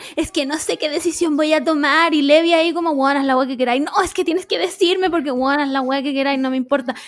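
Talking at a very fast pace with hardly any pauses, a woman with a Chilean accent uses a high pitch and ordinary pitch variation. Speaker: podcast co-host. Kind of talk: casual chat.

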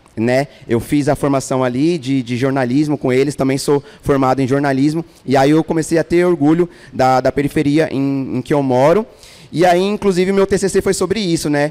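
Recorded dry and close with no echo, a man with a fairly high pitch, ordinary pitch variation and very even loudness has an unremarkable speaking voice. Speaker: podcast host. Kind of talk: casual chat. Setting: stage with audience.

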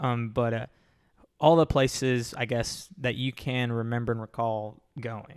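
An unremarkable speaking voice from a man, medium in pitch, fairly slow in pace and fairly even in intonation. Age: 20s. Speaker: podcast host. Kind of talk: casual chat. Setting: podcast recording with camera.

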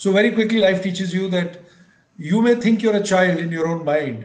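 A man speaks at a high pitch with ordinary pitch variation. He talks fairly quickly. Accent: Indian. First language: Punjabi. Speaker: retired army general and motivational speaker. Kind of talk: interview, storytelling.

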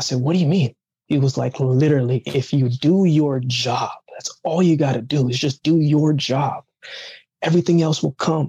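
At a moderate pace, a man with a fairly high, somewhat breathy voice and a dark, mellow tone speaks with fairly even intonation, in a dry, close sound with no echo. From Jamaica, raised later in Canada. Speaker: Olympic athlete and motivational speaker. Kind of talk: casual interview chat. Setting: remote call.

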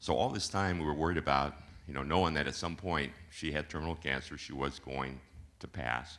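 Using vocal fry, a man talks at a fairly quick pace with a very deep, low pitch and ordinary pitch variation. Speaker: congregation member giving testimony. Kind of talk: testimony.

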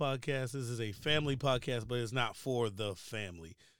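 A normal speaking voice with an American accent, moderate pace and ordinary pitch variation. The recording is very clean, with a silent background. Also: man. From Baltimore, Maryland. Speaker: podcast host, retired Air Force veteran. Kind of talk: casual chat.

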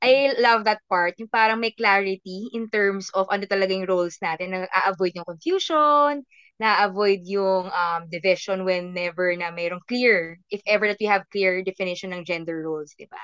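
Barely pausing, a woman at a medium pitch speaks with ordinary pitch variation and big swings in loudness, the sound dry and close with no echo over a quiet background. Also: moderate pace. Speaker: podcast host. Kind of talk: casual chat. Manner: animated.

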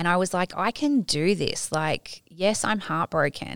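In an Australian accent, a woman speaks at a fairly slow pace in a very clean recording with a silent background and a dry, close sound with no echo. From Tasmania, Australia. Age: 40s. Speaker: empowerment coach. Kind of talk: casual chat.

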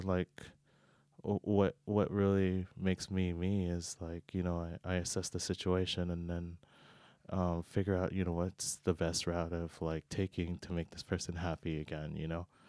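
A man speaks at a moderate pace in a very deep, low voice with a dark, mellow tone and monotone, flat intonation. The very clean recording has a silent background and a dry, close sound with no echo. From Hawaii, Oahu. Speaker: podcast guest. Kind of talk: casual chat. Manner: halting, many fillers.

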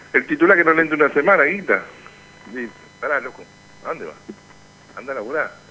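Over noticeable background noise, a man with a fairly high pitch and lively intonation races at a very fast pace, his loudness swinging widely between long, frequent pauses. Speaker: union radio show host. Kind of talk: casual radio chat.

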